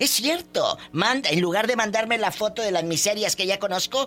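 Over music in the background, a man speaks in a raised, projected voice. His pitch is high, with ordinary variation. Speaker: radio host. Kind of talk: call-in radio show. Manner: animated.

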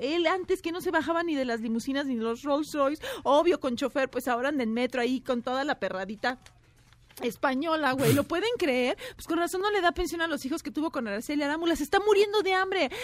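A woman's very fast, high-pitched speech with lively intonation. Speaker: entertainment and gossip commentator. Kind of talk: scripted comedic gossip segment.

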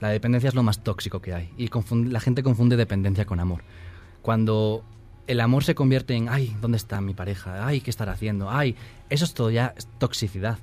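Music plays behind a man of medium pitch who talks at a fairly quick pace with ordinary pitch variation. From northern Spain, Asturias. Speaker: author. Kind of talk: interview.

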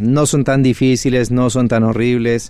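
A man with a dark, mellow tone speaks at medium pitch and a fairly slow pace. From Colombia, Cali. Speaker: math teacher and educational youtuber. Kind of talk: interview. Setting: radio studio.

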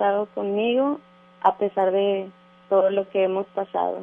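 The voice is an unremarkable speaking voice. It moves at a fairly slow pace. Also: woman. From Mexico, Durango. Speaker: radio caller. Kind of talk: call-in dedication. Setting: phone call.

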